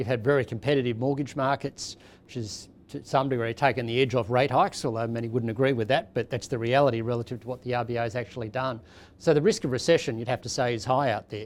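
A man with an Australian accent at a very fast pace, with fairly even intonation. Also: medium pitch for a man, very clean recording, silent background. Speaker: chief economist. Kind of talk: panel discussion.

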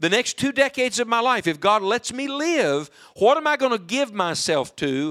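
A raised, projected voice with a bright, sharp tone and very wide pitch swings, on a very clean recording with a silent background. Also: man. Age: 40s. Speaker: evangelist preacher. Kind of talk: sermon. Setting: church with live congregation. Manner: animated.

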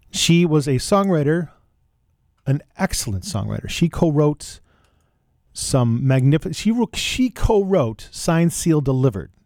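A man with a plain, everyday voice, pitched fairly high, speaks at a fairly slow pace. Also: lively intonation. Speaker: radio host. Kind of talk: radio dj patter. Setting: radio studio. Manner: casual, rambling, self-deprecating; chatty, loose, offhand.

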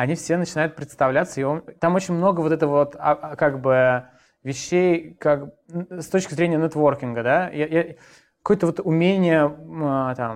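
A man with a normal speaking voice at a fairly high pitch, with fairly even intonation and a moderate pace. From Moscow, Russia. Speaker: coding bootcamp founder. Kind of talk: interview.

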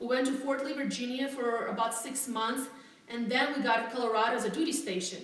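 A speaker with a non-native accent talks at a fairly quick pace with ordinary pitch variation. Noticeable noise sits in the background. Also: woman. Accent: foreign. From Latvia. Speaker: real estate agent. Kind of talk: interview.

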